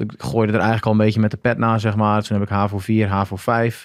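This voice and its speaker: Delivered at a very fast pace, a man's speech is monotone and flat. The sound is dry with no echo against a quiet background. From Groningen, northern Netherlands; northern Netherlands. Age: 30s. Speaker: former marine special forces diver; podcast guest. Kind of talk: casual interview, personal story. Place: studio. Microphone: studio mic.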